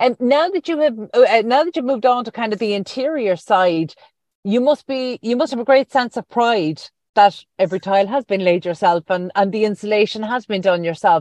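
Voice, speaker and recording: Speaking with an Irish accent, a woman's fairly high voice moves at a fairly quick pace with lively intonation. The sound is dry and close with no echo, over a quiet background. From rural Ireland. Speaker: radio host. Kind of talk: interview.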